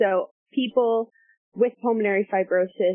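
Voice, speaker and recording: Words arrive at a fairly unhurried rate. The pitch moves about as much as usual. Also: woman. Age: 20s. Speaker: toxicology PhD candidate. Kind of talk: interview. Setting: podcast interview. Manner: hesitant, many fillers.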